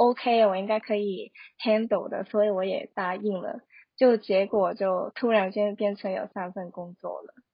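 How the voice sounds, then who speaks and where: Fairly even in intonation and moderate in pace, this is an unremarkable speaking voice. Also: woman. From Hong Kong. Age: 20s. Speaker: social media marketer. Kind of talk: casual interview.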